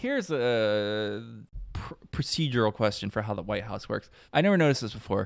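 Over a very clean recording with a silent background, a man speaks in an ordinary speaking voice. His pitch is fairly low, with ordinary variation, and his pace is fairly quick. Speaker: podcast host. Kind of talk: casual chat.

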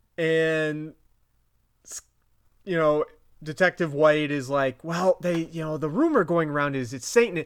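A man with a New England accent, fairly high-pitched, at a fairly slow pace with long, frequent pauses, ordinary pitch variation, and big swings in loudness. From Vermont. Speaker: podcast host. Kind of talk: casual podcast chat, episode recap.

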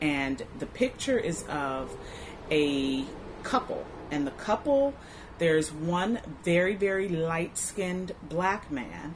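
Over noticeable background noise, a woman with an American accent speaks at a very slow pace, her fairly low pitch moving in very wide swings. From US West Coast, Inglewood, Los Angeles area. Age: 40s. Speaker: mother sharing family history. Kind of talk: oral history interview. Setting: recording at an arts space. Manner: hesitant, many fillers.

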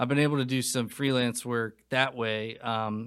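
Recorded very cleanly against a silent background, a man with an American accent speaks at medium pitch and a fairly slow pace, with ordinary pitch variation. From North Carolina. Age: 20s. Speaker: film director and writer. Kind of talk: casual interview chat.

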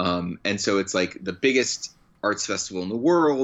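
An unremarkable speaking voice from a man, fairly low in pitch with ordinary pitch variation. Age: 30s. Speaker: comedian. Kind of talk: casual chat. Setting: phone call.

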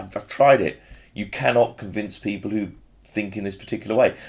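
Using a plain, everyday voice at a fairly low pitch, a man talks fairly quickly with ordinary pitch variation. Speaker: podcast host. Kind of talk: casual chat.

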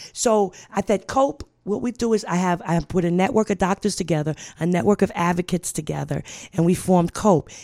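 A woman in an American accent talks at a fairly quick pace and medium pitch, her tone dark and mellow with ordinary pitch variation, in a dry, close sound with no echo on a very clean recording with a silent background. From Brooklyn, New York. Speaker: social worker and HIV advocate. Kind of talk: radio interview. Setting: radio studio.

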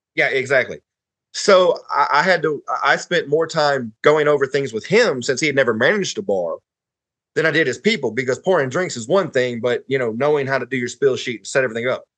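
In a Southern US accent, a man with a fairly high pitch speaks fairly quickly with lively intonation, in a dry, close sound with no echo. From northern Alabama (Huntsville). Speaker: podcast guest. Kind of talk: casual chat.

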